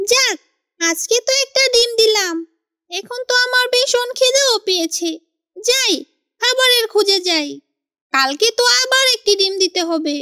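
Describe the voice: This is a squeaky, cartoonish character voice. It moves at a fairly slow pace. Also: woman, extremely high pitch for a woman.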